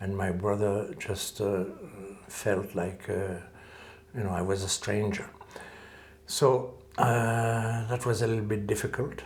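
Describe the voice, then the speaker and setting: A man's fairly low pitch and fairly even intonation at a fairly slow pace, with long, frequent pauses, audible room echo and noticeable background noise. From French-speaking Switzerland, Lausanne area. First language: French. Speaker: calligrapher and martial arts teacher. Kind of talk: interview. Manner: hesitant, many filler sounds.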